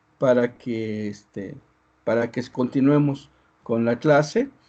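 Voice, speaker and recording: A dark, mellow tone with ordinary pitch variation. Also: man. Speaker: university lecturer. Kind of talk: online lecture. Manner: hesitant, many fillers. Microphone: poor internet connection, audio breaking up.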